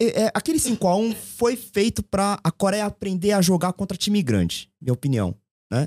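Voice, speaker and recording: Lively intonation marks a man's high-pitched voice at a moderate pace. The sound is dry and close with no echo, and the loudness stays very even. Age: 40s. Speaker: football commentator guest, marketing agency owner. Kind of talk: casual chat.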